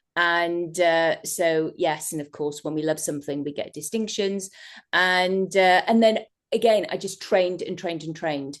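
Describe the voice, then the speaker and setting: A woman speaks in an English accent at a moderate pace and a fairly low pitch. Her intonation is fairly even, and the background is quiet. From England. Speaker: hypnotherapist. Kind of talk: interview. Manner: halting.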